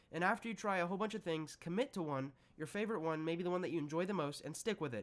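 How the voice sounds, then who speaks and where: A very fast, high-pitched male voice with ordinary pitch variation. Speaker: online psychology educator. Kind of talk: Q&A answering viewer questions.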